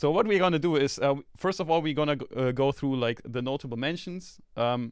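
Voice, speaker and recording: Against a quiet background, a man speaks with a non-native accent at a medium pitch. His pace is moderate, with ordinary pitch variation. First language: not English. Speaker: sample label host. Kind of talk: live stream contest feedback. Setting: live stream video call. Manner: casual, many fillers and restarts.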